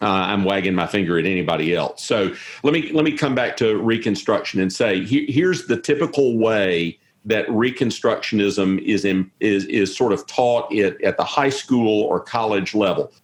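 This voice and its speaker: The speaker has a Southern US accent and talks at a moderate pace, with lively intonation and very even loudness. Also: man, medium pitch for a man. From US South. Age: 50s. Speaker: historian and theologian. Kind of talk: interview discussion. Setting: video call from home office.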